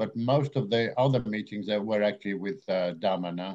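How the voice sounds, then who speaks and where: The man's intonation is lively. He keeps a moderate pace. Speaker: radio journalist. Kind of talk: radio interview. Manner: halting.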